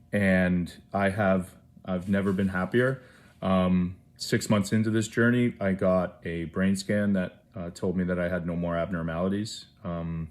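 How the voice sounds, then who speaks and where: On a very clean recording with a silent background, a man with a Canadian accent talks at a fairly slow pace in a very deep, low pitch with fairly even intonation. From Canada, small town. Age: 30s. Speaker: award recipient, brain injury advocate. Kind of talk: acceptance speech. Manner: hesitant, many fillers.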